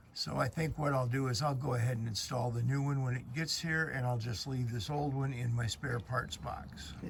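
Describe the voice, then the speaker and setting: A man with a medium-pitched voice talks at a moderate pace with hardly any pauses and ordinary pitch variation, with audible room echo and noticeable background noise. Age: 70s. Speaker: DIY boat repair youtuber. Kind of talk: tutorial. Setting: outdoors. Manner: casual.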